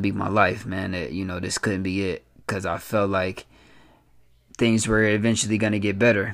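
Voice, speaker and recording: Flat and monotone, the man's voice sits fairly low. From Flint, Michigan. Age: 20s. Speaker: podcast host, founder of a motivational movement. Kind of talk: personal monologue. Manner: many filler words.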